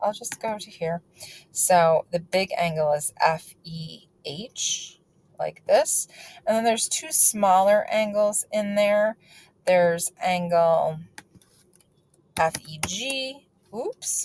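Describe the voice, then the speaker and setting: A woman's somewhat breathy, medium-pitched voice at a very slow pace, with long, frequent pauses, big swings in loudness, very wide pitch swings, and a dry, close sound with no echo. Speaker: math teacher. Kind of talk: lecture. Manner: casual.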